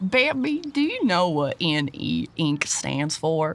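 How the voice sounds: In a put-on character voice, the speaker goes at a slow pace with big pitch swings. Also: woman, low pitch for a woman.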